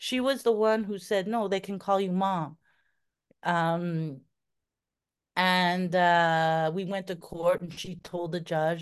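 Here is a plain, everyday voice at a fairly slow pace. Its pitch varies in an ordinary way over a quiet background. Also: woman. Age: 50s. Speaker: adoptive mother. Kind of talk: casual chat.

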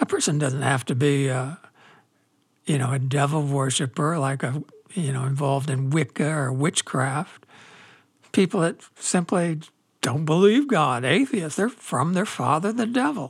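On a very clean recording with a silent background, a man speaks fairly slowly in a somewhat breathy voice at a fairly high pitch with ordinary pitch variation. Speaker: religious podcast host answering listener questions. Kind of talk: religious commentary, answering listener questions. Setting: solo recording at a microphone. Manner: casual, frequent laughs and fillers.

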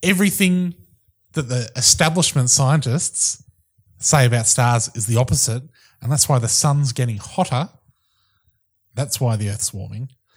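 On a very clean recording with a silent background, a man with a New Zealand accent speaks at medium pitch and a moderate pace, somewhat breathy, with lively intonation and long, frequent pauses. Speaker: podcast co-host. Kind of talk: casual chat.

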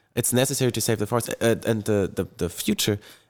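A man with a German accent speaks at a medium pitch on a very clean recording with a silent background, the sound dry and close with no echo. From Germany, Bonn. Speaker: climate activist. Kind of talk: panel discussion.

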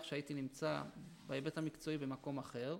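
Fairly even in intonation, a man speaks at a fairly quick pace. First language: Yiddish (speaking Hebrew). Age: 40s. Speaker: former ultra-Orthodox man turned army veteran. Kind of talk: interview testimony. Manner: halting, with repetitions.

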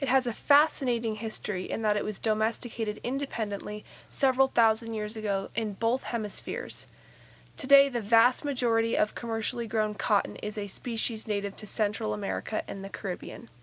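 A woman talks at a fairly quick pace in a normal speaking voice. Her pitch is fairly high, with fairly even intonation. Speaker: nature podcast co-host. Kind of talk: nature documentary narration. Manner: gently marveling, clear explanatory delivery.

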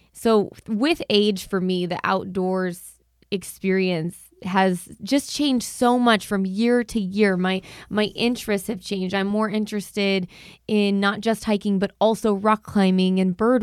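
A woman with an American accent speaks at a fairly slow pace, her pitch medium and her intonation fairly even. It is a plain, everyday voice. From Arizona. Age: 30s. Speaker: podcast host. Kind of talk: interview conversation.

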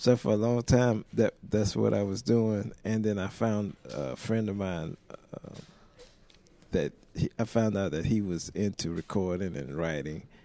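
A man's fairly low voice in an American accent, a normal speaking voice with ordinary pitch variation. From South Carolina. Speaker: session and touring bass player. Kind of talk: casual interview. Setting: hotel lobby.

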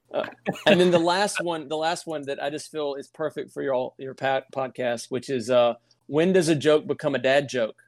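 Here a man speaks at a moderate pace with a fairly high pitch and ordinary pitch variation. The sound is dry and close, with no echo. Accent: Southern US. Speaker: podcast guest. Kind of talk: casual chat. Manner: halting.

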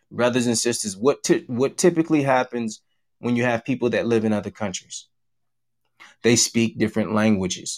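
On a very clean recording with a silent background, a man has an ordinary speaking voice, speaking at a moderate pace with ordinary pitch variation. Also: medium pitch for a man. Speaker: church teacher. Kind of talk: religious lesson. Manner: formal, repetitive.

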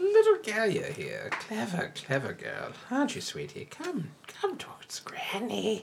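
The speaker uses a put-on character voice at a fairly slow pace. Clear background noise can be heard. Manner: peppy, sweet-talking, coaxing.

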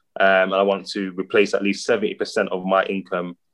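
A man at a fairly slow pace. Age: 30s. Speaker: aspiring property investor. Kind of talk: consultation call.

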